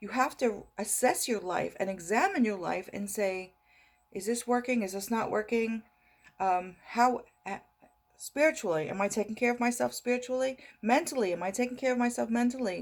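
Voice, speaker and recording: Using an ordinary speaking voice, a woman talks at a moderate pace and a fairly high pitch with ordinary pitch variation. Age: 60s. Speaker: motivational vlogger. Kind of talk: motivational talk to camera. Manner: repetitive, conversational.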